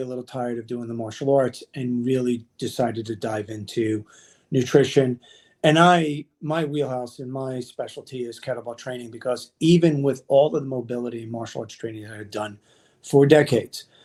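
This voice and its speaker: An unremarkable speaking voice at a moderate pace with ordinary pitch variation. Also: man. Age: 50s. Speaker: kettlebell and nutrition coach. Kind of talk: casual interview.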